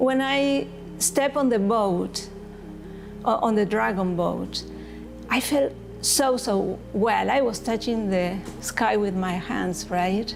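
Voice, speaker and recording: Over music in the background and audible room echo, a woman speaks with a Spanish accent at a very slow pace, with long, frequent pauses. Her loudness stays very even, and her pitch varies in an ordinary way. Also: medium pitch for a woman. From Argentina. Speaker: breast cancer survivor paddler. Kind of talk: testimony.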